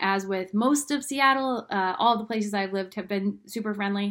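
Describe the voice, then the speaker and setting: At a moderate pace, a woman speaks in a normal speaking voice, her pitch medium with ordinary variation. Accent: American. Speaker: real estate agent. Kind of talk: informational video talk to camera.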